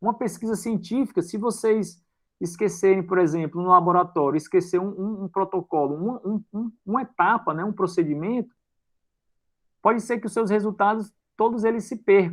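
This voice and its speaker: Ordinary pitch variation over a quiet background. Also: man. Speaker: university lecturer. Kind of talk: lecture. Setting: video call. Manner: casual.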